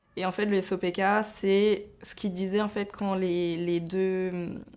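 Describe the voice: A woman's slightly mellow voice, at a fairly slow pace, with little pitch movement. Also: medium pitch for a woman.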